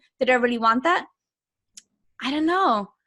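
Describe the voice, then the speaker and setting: This woman speaks with a German accent. Her pitch is fairly high. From Germany. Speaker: business coach. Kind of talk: interview answer. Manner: energetic.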